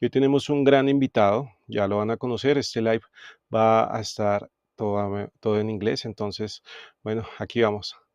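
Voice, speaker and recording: Long, frequent pauses mark a man's speech with a Spanish accent at a medium pitch and ordinary pitch variation. The sound is dry and close with no echo, against a quiet background. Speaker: podcast host, music producer. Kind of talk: live interview. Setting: live stream.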